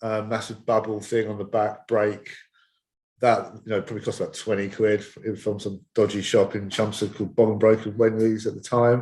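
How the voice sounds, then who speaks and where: A man with a British accent speaks in a monotone, flat intonation against a quiet background. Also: fairly low pitch for a man, moderate pace. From Essex, England. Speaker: skateboard coach. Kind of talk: podcast interview. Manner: halting.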